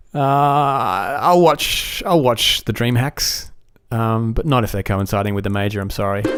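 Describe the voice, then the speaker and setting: At a fairly slow pace, a man with an Australian accent and medium pitch speaks with ordinary pitch variation over noticeable background noise. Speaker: podcast host. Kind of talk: solo podcast commentary. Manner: casual, with frequent fillers.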